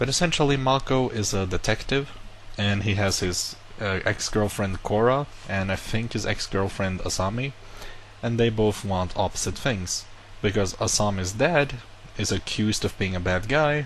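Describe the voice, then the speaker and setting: The speaker has a non-native accent, talks at a moderate pace, and uses ordinary pitch variation. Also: man, fairly low pitch for a man. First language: not English. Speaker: YouTuber. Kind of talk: casual vlog monologue. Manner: casual, self-correcting.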